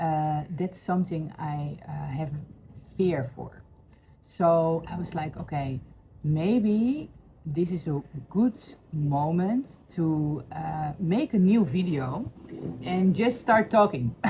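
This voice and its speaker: Lively intonation with a Dutch accent at a very slow pace, with long, frequent pauses and noticeable background noise. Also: woman, fairly low pitch for a woman. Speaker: spiritual healing vlogger. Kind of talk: personal testimony vlog. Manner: halting, many fillers.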